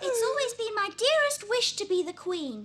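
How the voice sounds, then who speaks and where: Putting on a squeaky character voice, a woman speaks at an extremely high pitch and a moderate pace. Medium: fan dub.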